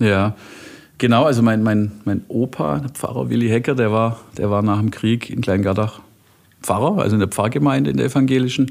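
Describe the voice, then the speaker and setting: An ordinary speaking voice, a man talks at a medium pitch with lively intonation. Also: moderate pace. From Heilbronn area, Baden-Württemberg (Talheim). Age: 40s. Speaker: software company CEO. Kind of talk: casual interview chat. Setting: office.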